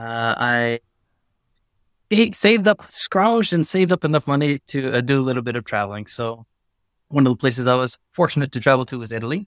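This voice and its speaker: Speaking at a fairly quick pace with lively intonation, a man uses an ordinary speaking voice at a medium pitch, with an American accent. The sound is dry and close with no echo, on a very clean recording with a silent background. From USA. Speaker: spirits brand founder. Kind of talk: casual interview.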